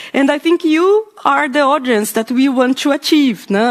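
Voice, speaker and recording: A woman with a Brazilian accent, lively intonation and a fairly slow pace. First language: Portuguese. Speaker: podcaster, panelist. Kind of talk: panel discussion. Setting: panel event with live audience. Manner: halting, many fillers.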